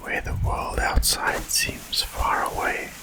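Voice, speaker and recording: Someone is whispering at a very slow pace. Noticeable background noise runs underneath. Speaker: ASMR creator. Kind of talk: ASMR whispered roleplay narration, calming guided story. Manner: whispered, soft-spoken, slow.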